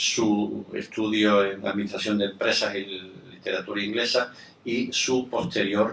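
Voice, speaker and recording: Speaking at a fairly slow pace, a man has a fairly low pitch with ordinary variation. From Spain. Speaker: event moderator. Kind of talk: formal introduction of a guest. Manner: halting, many fillers.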